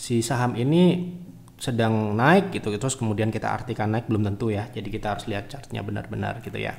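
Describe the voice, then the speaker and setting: He speaks at a very fast pace with a medium pitch. The man's pitch variation is ordinary. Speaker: stock market analyst. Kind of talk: livestream market analysis. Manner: soft-spoken; halting.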